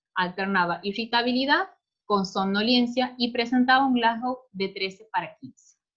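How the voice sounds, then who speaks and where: A woman speaks in an unremarkable speaking voice at fairly high pitch with ordinary pitch variation. Her pace is moderate, with big swings in loudness. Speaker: pediatric resident doctor. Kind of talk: clinical case presentation lecture.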